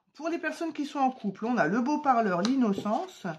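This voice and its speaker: A woman's somewhat breathy voice at a moderate pace, with very wide pitch swings. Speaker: tarot card reader. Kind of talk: tarot reading to camera. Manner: hesitant with many fillers.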